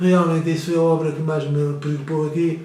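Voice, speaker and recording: A man with a fairly high pitch speaks at a fairly quick pace in a monotone, flat intonation. Noticeable background noise and audible room echo are present. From Azores, Faial island. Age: 70s. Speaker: retired priest. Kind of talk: interview. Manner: halting, many repetitions.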